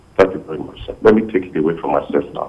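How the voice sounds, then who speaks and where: Noticeable background noise is present. Over it, a man talks at a very fast pace. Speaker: caller. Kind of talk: call-in opinion. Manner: halting, repeats words.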